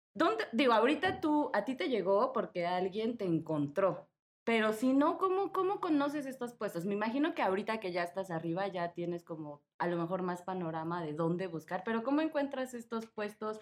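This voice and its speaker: A woman talks at a moderate pace with hardly any pauses. Her fairly high voice swings very widely in pitch. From Mexico. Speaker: podcast host. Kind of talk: casual chat. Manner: animated.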